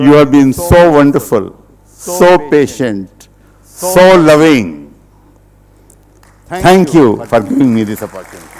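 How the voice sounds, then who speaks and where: Amid noticeable background noise, a man with a fairly high voice speaks very slowly with lively intonation and long, frequent pauses. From India, Uttar Pradesh. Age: 70s. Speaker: retired business executive, speaker. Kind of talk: public talk. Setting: auditorium with audience.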